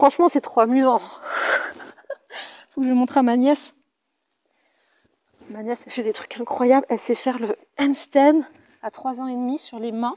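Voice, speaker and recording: A woman's high-pitched voice with a dark, mellow tone, fairly even intonation, big swings in loudness, a moderate pace and long, frequent pauses. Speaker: pilates instructor. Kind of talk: fitness class instruction. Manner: casual, chatty.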